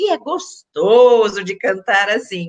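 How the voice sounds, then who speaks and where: A woman speaks in a fairly high pitch. Her intonation is lively. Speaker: journalist and voice coach. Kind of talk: casual chat.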